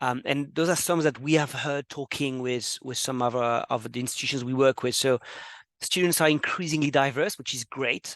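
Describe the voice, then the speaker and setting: A man with a French accent, fairly high in pitch and fairly even in intonation, in a dry, close sound with no echo against a quiet background. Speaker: webinar host. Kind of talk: webinar presentation. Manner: fast; hesitant, many fillers.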